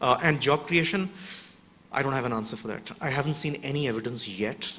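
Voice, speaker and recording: Fairly quick speech from a man of medium pitch, with ordinary pitch variation and noticeable background noise. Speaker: urban resilience researcher. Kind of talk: panel discussion answer. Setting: workshop with audience. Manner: fast.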